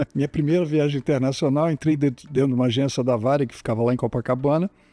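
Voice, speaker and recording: The man's dark, mellow voice sounds dry and close with no echo, over a quiet background. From Rio de Janeiro, Brazil. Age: 70s. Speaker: plane crash survivor. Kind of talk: interview testimony.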